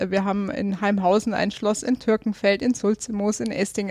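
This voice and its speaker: A woman at a fairly high pitch and moderate pace, with a slight Bavarian accent. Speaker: politician. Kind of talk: interview. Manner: halting, many fillers.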